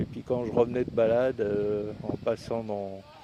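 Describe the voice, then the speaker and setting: Noticeable background noise runs behind a man at medium pitch. His pace is fairly slow and his intonation fairly even. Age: 70s. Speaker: e-bike vlogger. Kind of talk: casual product review. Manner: halting, many fillers.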